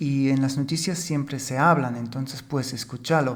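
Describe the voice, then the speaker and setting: With a German accent, a man speaks at a fairly high pitch and fairly even intonation, and audible room echo surrounds his voice. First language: German (speaking Spanish). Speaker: podcast co-host. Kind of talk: casual chat.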